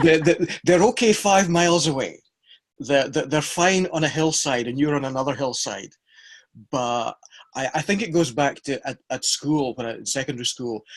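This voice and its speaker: At a moderate pace, a man with a Scottish accent speaks at a fairly high pitch with ordinary pitch variation. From Scotland. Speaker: practical theology scholar, podcast co-host. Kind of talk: casual chat.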